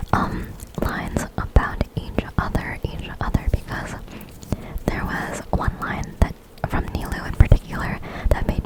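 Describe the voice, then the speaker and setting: The voice is a whisper, moving fairly slowly. Noticeable background noise accompanies it. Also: woman. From United States. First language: Chinese. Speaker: ASMR YouTuber. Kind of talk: ASMR gaming voiceover. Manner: whispering; repeats words.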